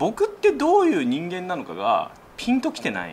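Light background noise sits behind the audio. This man's pace is fairly quick. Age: 30s. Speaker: YouTuber; YouTuber host asking for advice. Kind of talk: casual chat. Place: office.

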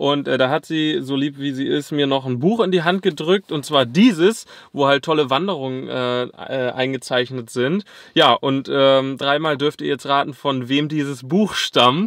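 Medium in pitch, a man's voice has a fairly bright tone and fairly even intonation. His pace is moderate, with few pauses.

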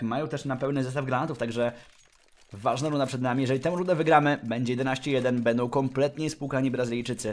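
In an animated tone, a man talks at a very fast pace. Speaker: esports commentator. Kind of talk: live esports commentary, play-by-play of a CS:GO match. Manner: excitable, animated, rapid-fire with bursts of amazement; joking, quips mid-play.

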